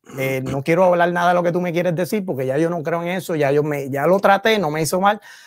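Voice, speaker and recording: A man with a high pitch talks at a very fast pace with hardly any pauses. His pitch variation is ordinary, and there is noticeable background noise. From Puerto Rico, Río Piedras. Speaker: theologian. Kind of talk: casual chat.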